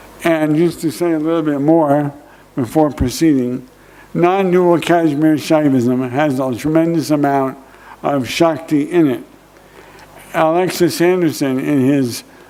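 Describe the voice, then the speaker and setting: In an American accent, a man with a fairly high pitch speaks at a fairly slow pace with fairly even intonation, and audible room echo surrounds him. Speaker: professor. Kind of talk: conference lecture. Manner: slow, careful; hesitant, many fillers.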